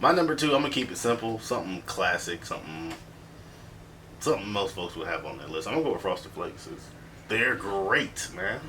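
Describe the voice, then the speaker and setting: A man talking at a fairly quick pace, with big swings in loudness, very wide pitch swings and noticeable background noise. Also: medium pitch for a man. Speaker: podcast host. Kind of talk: casual chat. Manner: animated.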